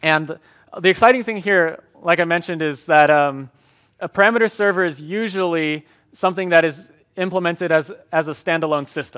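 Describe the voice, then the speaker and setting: The speaker moves at a fairly quick pace with ordinary pitch variation over a quiet background. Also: man. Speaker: conference presenter. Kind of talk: technical talk with live demo. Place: hall.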